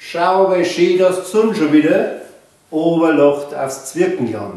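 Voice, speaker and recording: This man speaks at a very slow pace with a high pitch. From Bavaria. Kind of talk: children's book reading.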